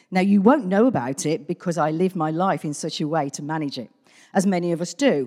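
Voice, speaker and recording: Heard in a very clean recording over a silent background, a woman with a British accent has a dark, mellow tone and a fairly low pitch. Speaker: church member. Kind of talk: testimony. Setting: church.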